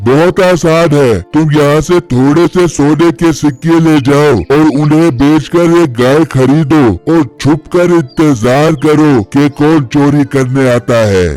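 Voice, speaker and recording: With faint music behind him, a man performs a cartoonish character voice at a fairly slow pace. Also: fairly high pitch for a man, hardly any pauses. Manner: gruff, commanding.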